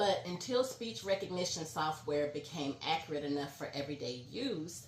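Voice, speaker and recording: Through noticeable background noise, a woman with a very deep, low pitch talks at a moderate pace with lively intonation. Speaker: vlogger, court reporter. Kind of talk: educational vlog. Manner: trips over words.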